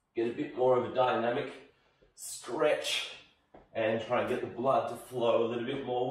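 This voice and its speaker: The room echo is audible around this man's voice. He delivers his words fairly slowly. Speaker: fitness instructor. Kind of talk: tutorial. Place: home room.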